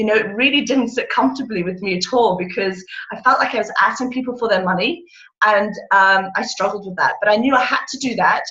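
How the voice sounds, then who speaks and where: A woman's bright, sharp voice, fairly high in pitch, at a fairly quick pace with audible room echo. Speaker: direct sales consultant. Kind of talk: motivational talk on a video call. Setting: video call. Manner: loud and excitable.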